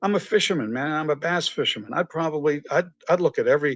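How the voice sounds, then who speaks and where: With a slight Boston accent, a man speaks at a fairly high pitch and a fairly quick pace, with ordinary pitch variation. The sound is dry and close with no echo, against a quiet background. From Massachusetts, near Boston. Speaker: entrepreneur and author. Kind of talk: podcast interview. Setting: live stream video podcast. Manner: animated.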